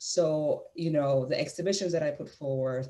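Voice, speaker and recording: At a moderate pace, a woman speaks in a very deep, low pitch with a dark, mellow tone and ordinary pitch variation. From Puerto Rico. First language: Spanish. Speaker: museum curator. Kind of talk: panel discussion. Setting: video call. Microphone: earbuds.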